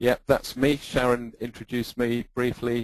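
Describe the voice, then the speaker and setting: A man with an English accent speaks at a medium pitch. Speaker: database consultant and presenter. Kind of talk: technical webinar presentation. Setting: online webinar with screen sharing.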